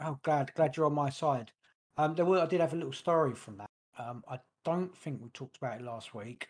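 With a London accent, a man talks at a fairly quick pace in a fairly high pitch, with ordinary pitch variation and big swings in loudness. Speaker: podcast co-host. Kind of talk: casual chat. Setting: home studio, livestream.

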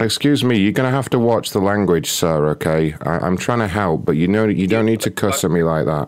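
A man with a British accent speaks at a very deep, low pitch and a fairly quick pace, with hardly any pauses. Noticeable background noise runs underneath. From England. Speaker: prank call show host. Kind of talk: prank phone calls; casual show chat.

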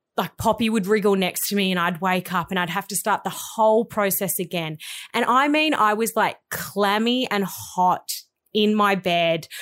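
A woman with an Australian accent and medium pitch is heard in a very clean recording with a silent background. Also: ordinary pitch variation, moderate pace. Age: 30s. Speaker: podcast co-host. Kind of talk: casual chat. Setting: studio.

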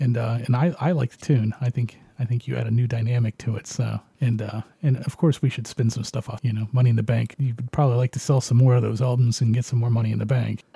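A man with a medium-pitched, dark, mellow, somewhat breathy voice talks very fast with fairly even intonation, recorded dry and close with no echo. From Canada. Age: 40s. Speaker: radio show host. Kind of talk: casual chat.

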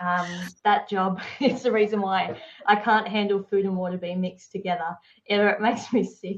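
Speaking in an Australian accent, a woman keeps her intonation fairly even. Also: medium pitch for a woman, moderate pace. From Tasmania, Australia. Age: 30s. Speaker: entrepreneur. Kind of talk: casual interview chat.

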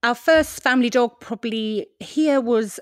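A woman with a British accent at a fairly slow pace, ordinary pitch variation, dry and close with no echo, very clean recording with a silent background. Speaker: podcast host, former TV presenter. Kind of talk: casual interview chat.

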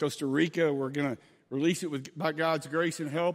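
In an ordinary speaking voice, a man talks at a fairly quick pace with a fairly high pitch and fairly even intonation, on a very clean recording with a silent background. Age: 50s. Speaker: guest pastor. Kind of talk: sermon.

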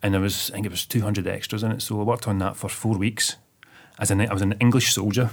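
A man at a very fast pace, fairly low in pitch, his intonation monotone and flat. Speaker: web designer and film extra. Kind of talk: casual chat.

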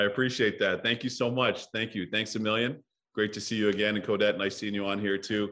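Monotone and flat in intonation, a man with a Canadian accent speaks at a fairly quick pace and a fairly low pitch. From Toronto, Canada. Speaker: hockey broadcaster. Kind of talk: casual chat.

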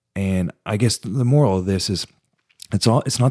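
A man talks fairly quickly in a fairly low register with ordinary pitch variation. He has a normal speaking voice. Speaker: podcast co-host. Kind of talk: casual chat. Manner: conversational, joking.

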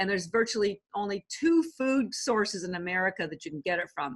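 With a Canadian accent, a woman uses a normal speaking voice at medium pitch, talking at a fairly quick pace with lively intonation against a quiet background. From Canada. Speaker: supplement company founder. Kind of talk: interview.

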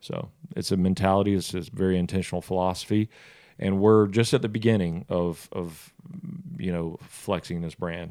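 A dark, mellow tone with a Southern US accent, fairly even intonation and a moderate pace, in a very clean recording with a silent background. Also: man, very deep, low pitch for a man. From US South, South Georgia. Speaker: restaurant founder, former football quarterback. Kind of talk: casual interview.

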